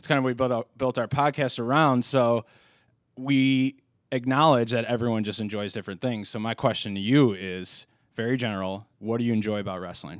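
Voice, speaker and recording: A man with a plain, everyday voice speaks at a fairly quick pace and medium pitch with ordinary pitch variation, on a very clean recording with a silent background. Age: 20s. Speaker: wrestling podcast host. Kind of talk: casual chat. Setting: in-person recording at co-host's workplace.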